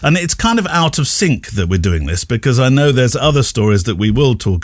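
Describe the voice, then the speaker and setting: A man with a British accent talks at a fairly quick pace, sounding somewhat breathy. His pitch swings very widely. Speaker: podcast host. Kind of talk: interview.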